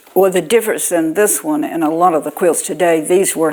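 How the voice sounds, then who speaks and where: This woman keeps a moderate pace. She talks in a Southern US accent. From Alabama, Houston County. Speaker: quilter. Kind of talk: casual interview.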